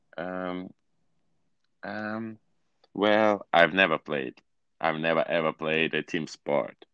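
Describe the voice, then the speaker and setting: A man with a non-native accent speaks very slowly in a very deep, low voice with a bright, sharp tone and ordinary pitch variation. He pauses long and often, the sound dry and close with no echo over a quiet background. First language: not English. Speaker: English language student. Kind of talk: casual chat. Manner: halting.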